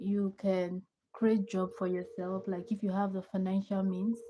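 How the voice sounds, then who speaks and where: At a moderate pace, a woman speaks in a somewhat breathy, medium-pitched voice with a dark, mellow tone. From Nigeria. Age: 20s. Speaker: livestreamer. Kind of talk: casual chat.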